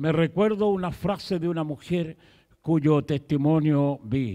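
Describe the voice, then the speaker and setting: A man speaks at a fairly slow pace in a dark, mellow tone, with a quiet background. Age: 70s. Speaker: pastor. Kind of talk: sermon. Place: church. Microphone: handheld.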